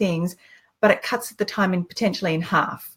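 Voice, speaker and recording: In a somewhat breathy voice, a woman speaks at a medium pitch with fairly even intonation. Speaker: online business coach, live show host. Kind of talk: casual live-stream chat. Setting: live video stream. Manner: fast.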